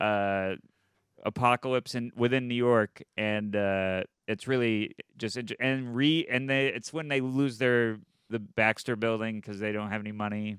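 An ordinary speaking voice comes through dry and close with no echo, at a fairly slow pace and with fairly even intonation. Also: man. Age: young. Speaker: comedian. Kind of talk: casual chat.

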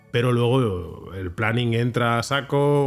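There is music in the background. Over it, a man speaks at a medium pitch. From Barcelona, Sants. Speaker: comic book artist. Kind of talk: interview. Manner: halting with frequent word repetitions.

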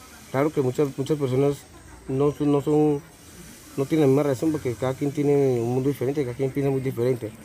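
A man's fairly high voice at a fairly quick pace, in a monotone, flat intonation. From Colombia, Puerto Boyacá. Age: 20s. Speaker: homeless man, drug user. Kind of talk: street interview. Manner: halting, many repetitions.

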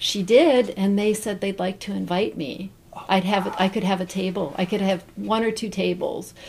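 A woman with a Midwestern American accent at medium pitch, moderate pace and fairly even intonation, hardly any pauses, over noticeable background noise. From Central Ohio (Zanesville). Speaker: bonsai potter. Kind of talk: casual interview.

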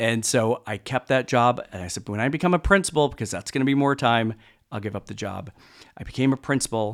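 Recorded very cleanly against a silent background, a man speaks fairly quickly at a medium pitch with lively intonation. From US Midwest, Chicago suburbs. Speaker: school superintendent. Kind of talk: interview. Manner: halting, many repeated words.

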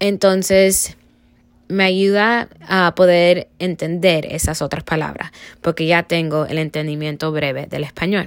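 On a very clean recording with a silent background, a plain, everyday voice moves at a fairly slow pace with fairly even intonation. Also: woman, fairly low pitch for a woman. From Cuba, raised in the US. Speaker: student. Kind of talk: class presentation reflection.

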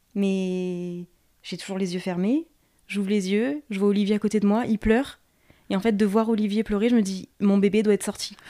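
A woman's medium-pitched, dark and mellow tone at a moderate pace, with fairly even intonation. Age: 30s. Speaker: nursery nurse, new mother telling birth story. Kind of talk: birth story testimony.

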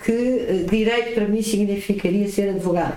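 A woman speaks with a European Portuguese accent. Noticeable background noise can be heard. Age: 60s. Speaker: entrepreneur and lawyer. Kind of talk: interview.

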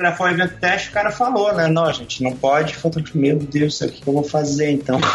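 At a fairly quick pace with hardly any pauses, a man with a fairly high pitch keeps his loudness very even and his pitch variation ordinary, while background noise is noticeable. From Brazil, Brasília. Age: 30s. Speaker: sports photographer. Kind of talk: casual interview chat.

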